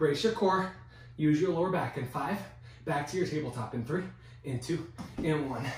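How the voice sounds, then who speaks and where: A man's fairly high voice at a fairly quick pace, with audible room echo. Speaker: fitness instructor. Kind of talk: guided workout class, cueing exercises. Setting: video workout at home. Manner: encouraging, energetic.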